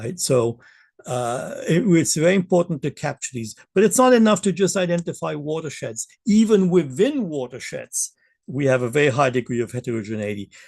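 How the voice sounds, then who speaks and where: A fairly high-pitched man at a fairly quick pace, his pitch swinging very widely, in a dry, close sound with no echo over a quiet background. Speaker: keynote speaker, environmental economist. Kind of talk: lecture. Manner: fast; frequent fillers and hesitations.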